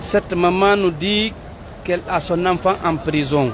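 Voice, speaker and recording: There is noticeable background noise in this clip. A man with a Guinean accent speaks at a fairly slow pace. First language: Pular (speaking French). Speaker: Islamic preacher. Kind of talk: religious advice talk.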